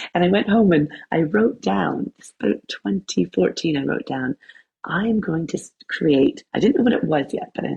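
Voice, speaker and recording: Using a Canadian accent, a woman speaks at a moderate pace in a fairly low pitch, with very wide pitch swings and big swings in loudness. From Canada. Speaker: wellness coach and yoga teacher. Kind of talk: podcast interview. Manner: animated.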